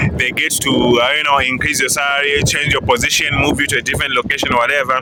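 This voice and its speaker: A man with a fairly high pitch speaks at a very fast pace. The room echo is audible and the background noise is noticeable. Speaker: IT engineer and career vlogger. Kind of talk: casual vlog commentary. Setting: outdoors at a stadium.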